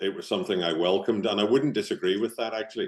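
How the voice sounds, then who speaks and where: A man speaks at a fairly low pitch with a slight Northern Irish accent. His intonation is lively. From Northern Ireland, Belfast. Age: 50s. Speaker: business founder and team coach. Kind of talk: podcast interview.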